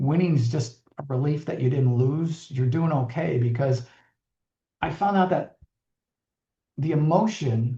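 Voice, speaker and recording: A man with an American accent speaks at a fairly slow pace in a fairly high pitch, his dark, mellow tone somewhat breathy, with ordinary pitch variation and long, frequent pauses. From Buffalo, New York, USA. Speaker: Navy veteran pilot, former pro football player, finance executive. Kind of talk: radio interview answer.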